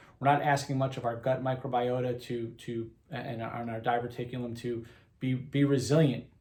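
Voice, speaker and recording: With audible room echo, a man speaks at a medium pitch and moderate pace in a somewhat breathy, monotone, flat delivery. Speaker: health and wellness coach. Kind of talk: casual interview conversation.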